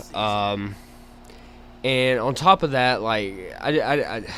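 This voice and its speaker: Here is a man with an Alabama accent. His medium pitch shows ordinary pitch variation. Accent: Southern (Alabama). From Alabama, US South. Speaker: gaming YouTuber. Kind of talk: gameplay commentary. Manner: casual, halting with fillers.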